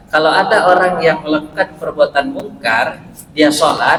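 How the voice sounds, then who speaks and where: There's noticeable background noise and audible room echo. Through it, a man talks. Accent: strong West Sumatran. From West Sumatra (Pariaman, Minang). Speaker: Islamic preacher and university lecturer. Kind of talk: short religious sermon.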